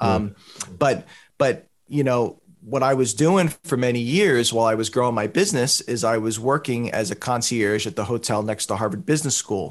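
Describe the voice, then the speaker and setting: A man talks at a medium pitch and a moderate pace, with a normal speaking voice and ordinary pitch variation. The background is quiet. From Boston. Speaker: music producer and entrepreneur. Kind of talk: podcast interview.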